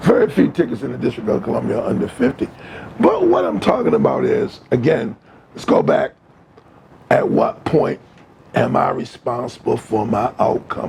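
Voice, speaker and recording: A man speaks at a moderate pace, leaving long, frequent pauses. There is noticeable background noise. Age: 70s. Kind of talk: casual chat.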